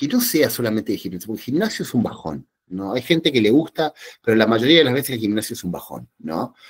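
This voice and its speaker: Pitched at a medium level, a man talks with lively intonation. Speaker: psychologist giving a talk. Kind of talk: lecture. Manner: animated, with many fillers.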